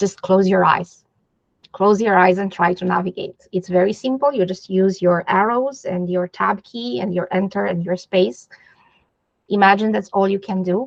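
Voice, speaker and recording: A woman with a non-native accent talks at a moderate pace and medium pitch, her intonation fairly even and the sound dry and close with no echo. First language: not English. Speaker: digital accessibility specialist. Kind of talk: interview.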